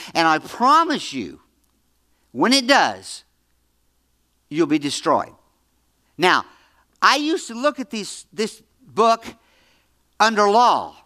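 Very slowly, with long, frequent pauses, a man uses a raised, projected voice at a high pitch with very wide pitch swings and a bright, sharp tone, on a very clean recording with a silent background. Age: 70s. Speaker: pastor. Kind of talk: sermon. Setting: church. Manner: halting, repeats words.

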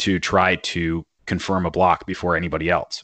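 A man with an American accent and a very deep, low pitch, at a moderate pace, in a dry, close sound with no echo and a quiet background. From Northern California. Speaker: cryptocurrency podcaster. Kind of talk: casual interview.

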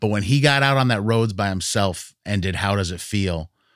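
Against a silent background on a very clean recording, a man with an American accent speaks in an ordinary speaking voice. His pitch is fairly low, with ordinary variation, and his pace is moderate. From US Northeast, rural western Massachusetts. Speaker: jazz radio host and musician. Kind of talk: casual interview chat.

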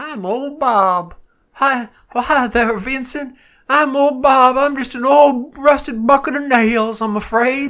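A put-on character voice at a fairly slow pace. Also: man, extremely high pitch for a man. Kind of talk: old-timey, folksy. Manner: self-deprecating.

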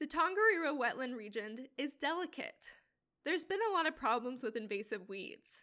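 A woman speaks at a high pitch and a moderate pace, with very wide pitch swings. Her voice is raised and projected, with a bright, sharp tone. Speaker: podcast host. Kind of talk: scripted narration.

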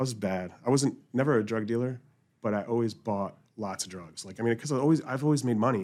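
A man talks at a fairly quick pace in an unremarkable speaking voice. His pitch is medium, with ordinary variation. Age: 40s. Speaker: podcast host. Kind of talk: casual chat.

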